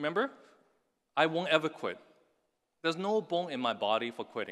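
Against a quiet background, a man with a fairly high pitch and a bright, sharp tone talks at a fairly quick pace, his voice showing vocal fry and very wide pitch swings. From Hong Kong. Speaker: tech entrepreneur. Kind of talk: commencement speech. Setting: stage with audience.

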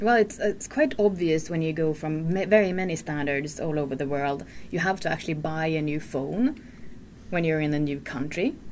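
At a moderate pace, a woman with a Swedish accent speaks in a very deep, low pitch with ordinary pitch variation. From Sweden. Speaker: podcast host. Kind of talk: casual chat. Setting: studio.

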